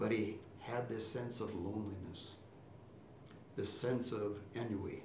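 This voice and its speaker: A fairly low-pitched man speaks fairly slowly in a monotone, flat way, pausing long and often, with noticeable background noise and audible room echo. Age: 80s+. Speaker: retired university chancellor. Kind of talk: promotional interview.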